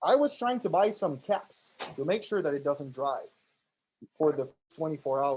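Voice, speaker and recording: A man's fairly high voice with a French Canadian accent, lively intonation and a moderate pace. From Quebec, Canada (Montreal). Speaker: PhD student presenting a workshop. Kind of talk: workshop lecture. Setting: classroom, streamed on Zoom. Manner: hesitant, many fillers.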